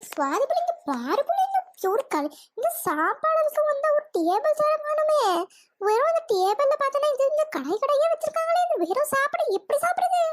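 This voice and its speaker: A woman performs a cartoonish character voice at an extremely high pitch with very wide pitch swings, very even loudness and a fairly slow pace. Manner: quick-tempered, loud, scolding.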